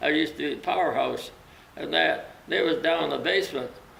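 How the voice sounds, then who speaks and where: Amid noticeable background noise and audible room echo, a man with a western Canadian accent talks at a fairly quick pace. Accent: rural western Canadian. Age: 90s. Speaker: retired fire chief. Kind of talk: casual reminiscing interview. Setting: welding shop. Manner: rambling, halting.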